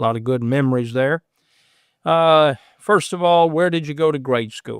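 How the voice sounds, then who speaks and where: A fairly high-pitched man with an Appalachian accent, moderate pace and ordinary pitch variation. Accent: Appalachian Kentucky. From Southeast Kentucky. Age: 60s. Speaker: podcast host and preacher. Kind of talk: casual interview.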